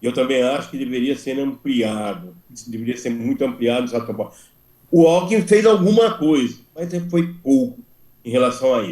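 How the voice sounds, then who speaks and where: At a moderate pace, a man with a medium pitch and a dark, mellow tone speaks with very wide pitch swings. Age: 70s. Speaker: school principals' union member. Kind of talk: meeting discussion. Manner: halting, repeats words.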